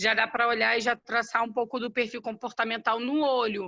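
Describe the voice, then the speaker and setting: A woman at a moderate pace, high in pitch, with a bright, sharp tone. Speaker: sales team leader. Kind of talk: online training discussion.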